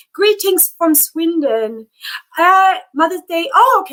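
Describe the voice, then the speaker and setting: Raised and projected, a woman's voice carries a bright, sharp, animated tone. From Namibia. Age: 30s. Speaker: YouTuber. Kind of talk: live stream chat. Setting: live stream.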